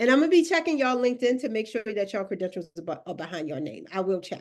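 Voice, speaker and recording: A woman talks with a Baltimore accent in an animated tone. Her pitch swings very widely against a quiet background. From Baltimore, Maryland, US. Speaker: career coach. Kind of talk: live webinar workshop. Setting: video call. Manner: animated, casual.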